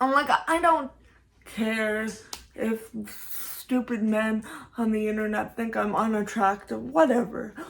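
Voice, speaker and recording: A woman talks very slowly, her fairly high voice moving with ordinary pitch variation. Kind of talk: vlog commentary. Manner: halting with repetitions.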